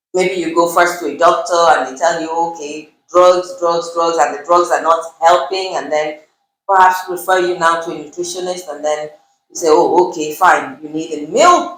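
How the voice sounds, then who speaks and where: Audible room echo hangs on a woman's fairly low voice as she speaks at a moderate pace with monotone, flat intonation and big swings in loudness. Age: 50s. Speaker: nutritionist. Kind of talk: interview.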